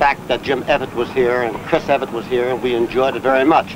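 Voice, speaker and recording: The speech comes at a very fast pace with fairly even intonation over noticeable background noise. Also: man. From New Jersey. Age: 60s. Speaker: retiree tennis player. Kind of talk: interview testimony.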